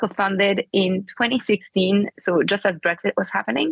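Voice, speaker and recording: A woman's medium-pitched voice with a French accent, at a fairly quick pace. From France. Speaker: political party co-founder. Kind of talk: interview.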